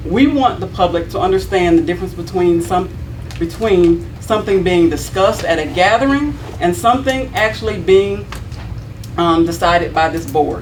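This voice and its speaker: A woman with an American accent speaks at a moderate pace amid noticeable background noise and audible room echo. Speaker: city board member (alderman). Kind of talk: prepared statement read at a public meeting. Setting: city board meeting. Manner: loud.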